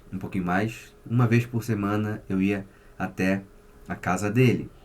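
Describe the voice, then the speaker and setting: At a fairly slow pace, a man speaks with fairly low pitch and fairly even intonation. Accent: Rio de Janeiro. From Rio de Janeiro, Brazil. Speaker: psychotherapist. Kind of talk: casual vlog monologue.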